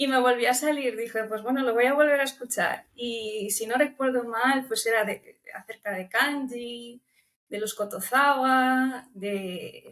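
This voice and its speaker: A high-pitched woman with a Romanian accent, fairly slow and fairly even in intonation. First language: Romanian (speaking Spanish). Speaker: language student. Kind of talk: interview. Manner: hesitant, with filler repetitions.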